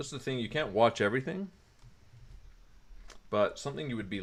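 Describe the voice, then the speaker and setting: A man with ordinary pitch variation on a very clean recording against a silent background. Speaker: crypto chart analyst streamer. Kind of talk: live stream chart analysis. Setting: live stream. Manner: fast.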